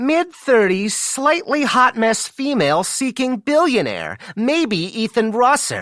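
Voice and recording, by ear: Putting on a squeaky character voice, a man talks at a fairly slow pace with hardly any pauses, his extremely high pitch moving in lively intonation.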